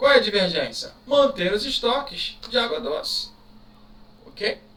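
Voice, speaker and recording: A man uses a raised, projected voice with lively intonation at a very slow pace. Audible room echo and noticeable background noise are present. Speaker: teacher. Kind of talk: exam review lecture. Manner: casual, conversational.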